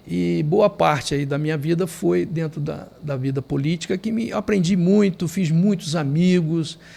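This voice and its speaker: A man's plain, everyday voice, fairly high-pitched, at a fairly slow pace with hardly any pauses and ordinary pitch variation, on a very clean recording with a silent background. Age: 60s. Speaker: lawyer and politician. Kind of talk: podcast interview.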